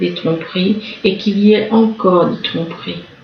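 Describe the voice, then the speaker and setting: A somewhat breathy voice with fairly even intonation carries audible room echo. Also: woman. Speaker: tarot reader. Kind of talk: tarot reading. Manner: halting.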